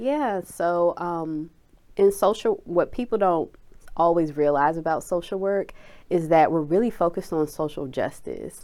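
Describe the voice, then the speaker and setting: On a very clean recording with a silent background, a woman with an American accent speaks slowly-ish in a dark, mellow tone, her pitch fairly low with ordinary variation, at a fairly slow pace. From Washington D.C. area. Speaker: therapist and mental wellness nonprofit founder. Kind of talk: interview.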